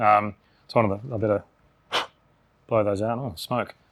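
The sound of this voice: Mumbling in a raspy put-on character voice, a man drawls at a very slow pace with a fairly low pitch and fairly even intonation.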